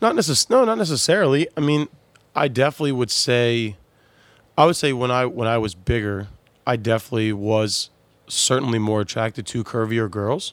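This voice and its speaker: A man's unremarkable speaking voice at a medium pitch, fairly quick in pace, with ordinary pitch variation. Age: 30s. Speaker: fitness enthusiast who lost 100 pounds. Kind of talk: casual interview.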